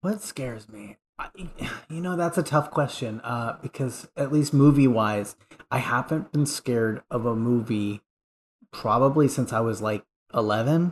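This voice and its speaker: An unremarkable speaking voice moves at a moderate pace with ordinary pitch variation and big swings in loudness against a quiet background. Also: man, medium pitch for a man. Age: 30s. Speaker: podcast guest, listener supporter. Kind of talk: casual chat.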